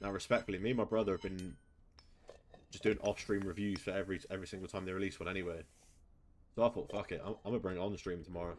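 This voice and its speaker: A man in an English accent, fairly low in pitch, at a very fast pace broken by long, frequent pauses. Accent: English accent, self-described as annoying. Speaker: gaming streamer. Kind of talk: live gaming commentary. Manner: animated.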